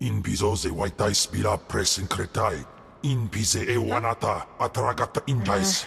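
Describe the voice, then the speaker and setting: A man puts on a character voice at a fairly low pitch. Clear background noise runs behind him. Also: moderate pace. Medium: video game.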